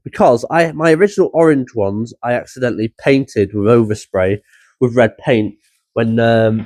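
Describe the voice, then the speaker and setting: With a British accent, a man talks at a moderate pace with lively intonation in a dry, close sound with no echo. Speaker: car hobby vlogger. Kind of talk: casual vlog.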